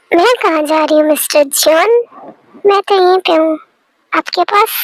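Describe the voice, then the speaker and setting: A woman's put-on character voice, extremely high in pitch, at a moderate pace, dry and close with no echo. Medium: fan dub. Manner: playful, teasing.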